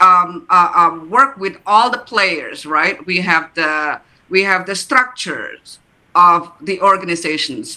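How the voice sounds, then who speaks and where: The speaker has an Indonesian accent. The pace is very slow. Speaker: therapist or coach. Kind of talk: panel discussion at book launch. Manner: halting, many fillers and repeats.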